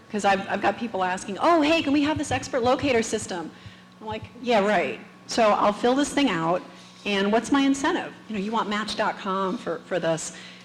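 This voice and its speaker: A woman at a fairly high pitch and moderate pace, amid noticeable background noise and audible room echo. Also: lively intonation. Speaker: conference speaker, tech manager. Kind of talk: conference talk. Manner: soft-spoken.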